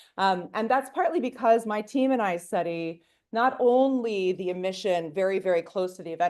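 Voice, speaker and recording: The delivery is fairly quick with lively intonation. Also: woman. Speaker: professor. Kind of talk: public lecture. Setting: lecture hall with audience. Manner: animated.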